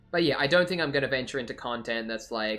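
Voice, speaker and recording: A man talks with an Australian accent. Music plays in the background. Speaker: livestreamer, miniature painter. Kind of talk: casual livestream chat. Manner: rambling, hesitant with fillers.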